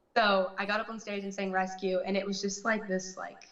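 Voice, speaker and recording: A woman with an American accent speaks at a moderate pace in a medium pitch, her intonation flat and monotone, with audible room echo. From Texas, Dallas. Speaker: actress and singer. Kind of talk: interview. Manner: soft-spoken.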